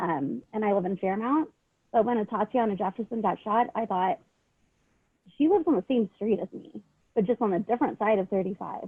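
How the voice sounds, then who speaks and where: A woman with a Southern California accent talks at a fairly quick pace and fairly high pitch, with long, frequent pauses. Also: lively intonation. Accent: sounds like a Valley girl. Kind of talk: panel discussion.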